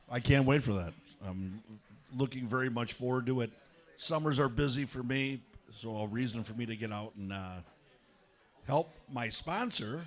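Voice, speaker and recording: With an American accent, a man speaks at a medium pitch and a moderate pace, with ordinary pitch variation and long, frequent pauses. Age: 60s. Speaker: restaurant owner and race sponsor. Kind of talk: casual interview. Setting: restaurant, crowded.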